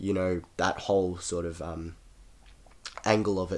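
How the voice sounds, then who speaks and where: A man speaks in a very deep, low voice. His intonation is monotone and flat. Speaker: horror collector and reviewer. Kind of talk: casual talk to camera. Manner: rambling, casual.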